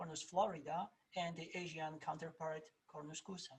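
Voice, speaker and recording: There is a slight Polish accent. The pace is moderate. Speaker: plant scientist, research professor. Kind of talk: presentation. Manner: halting, many fillers.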